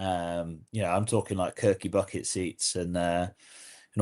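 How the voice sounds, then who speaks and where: A man with an English accent speaks in a dark, mellow tone at a moderate pace, his intonation monotone and flat against a quiet background. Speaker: podcast host. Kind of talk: casual chat. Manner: halting, repeats words.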